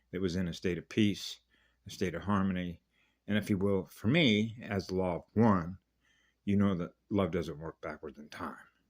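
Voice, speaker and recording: Big swings in loudness run through this man's very deep, low-pitched voice at a moderate pace. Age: 70s. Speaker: spiritual video blogger. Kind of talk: casual monologue. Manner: rambling, unscripted.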